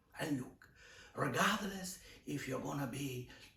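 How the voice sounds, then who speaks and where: A man's fairly slow speech with lively intonation and audible room echo. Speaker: video creator, art channel host. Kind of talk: improvised monologue to camera. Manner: hesitant, improvised.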